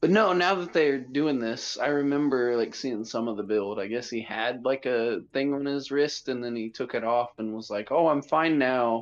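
This man's voice sits at a medium pitch with ordinary pitch variation. He speaks with hardly any pauses. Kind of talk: casual watch-along chat. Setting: remote, on phone, far from mic. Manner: animated, profane, quick reactions.

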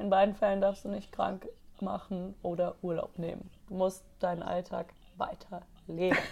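Monotone, flat intonation shapes a woman's medium-pitched voice. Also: moderate pace. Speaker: podcast co-host. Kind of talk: casual chat.

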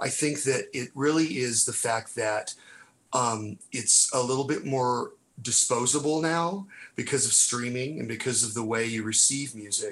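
Speaking at a fairly slow pace, a man has an unremarkable speaking voice, medium in pitch with ordinary pitch variation. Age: 50s. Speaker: music enthusiast guest. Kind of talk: casual chat.

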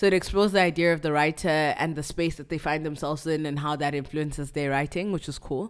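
This woman talks at a very fast pace in a very deep, low pitch. Her intonation stays fairly even. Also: hardly any pauses. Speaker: writer. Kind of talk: casual chat.

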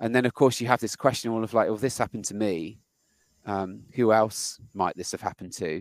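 At a fairly quick pace, a man with a British accent and fairly low pitch speaks with ordinary pitch variation, recorded very cleanly against a silent background with a dry, close sound and no echo. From Britain. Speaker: podcast host and software engineer. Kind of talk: casual interview.

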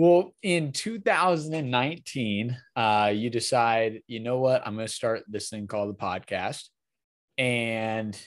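A man speaks with a plain, everyday voice at medium pitch and an American accent. His pitch varies in an ordinary way over a quiet background. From Wisconsin. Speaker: podcast host. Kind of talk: interview.

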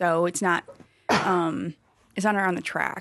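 In a slight Wisconsin accent, a woman talks with a fairly low pitch and monotone, flat intonation. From small-town Wisconsin. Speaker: athlete and injury practitioner. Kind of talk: casual chat. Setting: studio.

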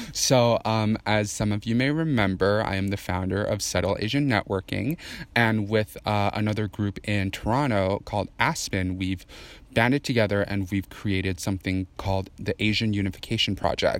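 Here a man speaks in a plain, everyday voice at a fairly low pitch. His pace is moderate and his pitch variation ordinary. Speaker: guest. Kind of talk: casual chat.

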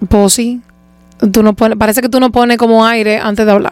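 Fairly quick and animated, a woman speaks with a Dominican accent at a fairly high pitch. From Dominican Republic, Santo Domingo. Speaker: singer. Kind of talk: casual chat.

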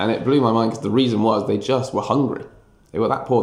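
A man speaks very rapidly, and the room's echo can be clearly heard. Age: 30s. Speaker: history teacher. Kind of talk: casual interview.

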